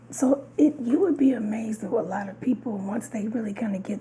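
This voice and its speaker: There is noticeable background noise as a woman speaks at a fairly high pitch with ordinary pitch variation. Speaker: podcast co-host. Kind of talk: casual chat.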